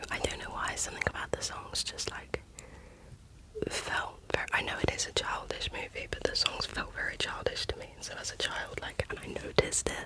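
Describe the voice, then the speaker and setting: A woman whispers at a moderate pace while noticeable background noise runs underneath. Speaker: ASMR creator. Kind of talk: ASMR whisper rambling. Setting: background traffic noise. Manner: whispered.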